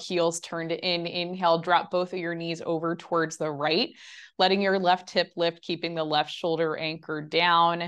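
A calm, soothing tone at a moderate pace, with fairly even intonation over a quiet background. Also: woman. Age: 20s. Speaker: Pilates instructor. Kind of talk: live fitness class instruction, guided exercise cues. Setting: virtual studio class recording. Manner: calm, soothing, steady; rhythmic, clear, counting reps. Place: home room.

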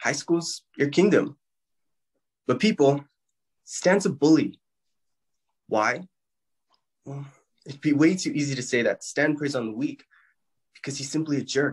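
A somewhat breathy man's voice, fairly slow with long, frequent pauses and ordinary pitch variation, over a quiet background. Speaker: actor doing a self-tape audition. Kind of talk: audition slate and performed monologues. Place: home room. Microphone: phone near.

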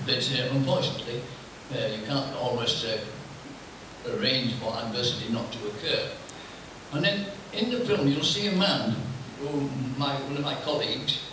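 Through strong room echo and noticeable background noise, a man with a fairly high pitch speaks with lively intonation and long, frequent pauses. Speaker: table tennis player. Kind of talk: talk to an audience before a screening. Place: hall.

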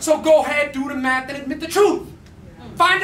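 A man's raised, projected voice at an extremely high pitch, fairly quick pace and fairly even intonation, with audible room echo and light background noise. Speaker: slam poet. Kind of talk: spoken-word poetry performance. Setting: live venue, arts center. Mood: angry, grieving protest. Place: stage. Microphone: handheld.

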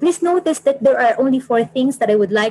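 A woman's dark, mellow voice, somewhat breathy. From Philippines. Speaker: environmental planner and PhD student; presenter. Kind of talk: webinar presentation. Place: office.

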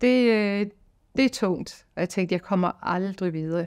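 A woman speaks in an ordinary speaking voice at a medium pitch. Her pace is fairly slow over a quiet background. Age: 50s. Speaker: singing teacher. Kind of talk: testimony. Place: studio.

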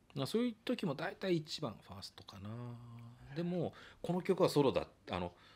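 A man with a high pitch talks with very wide pitch swings, big swings in loudness, and long, frequent pauses. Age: 50s. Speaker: trumpet player and studio owner; guest. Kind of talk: casual interview chat. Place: home room. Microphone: studio mic.

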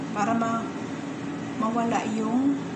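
A woman speaks at a very slow pace. Loud background noise is present. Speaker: home cook vlogger. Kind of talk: casual cooking tutorial. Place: kitchen. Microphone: phone near.

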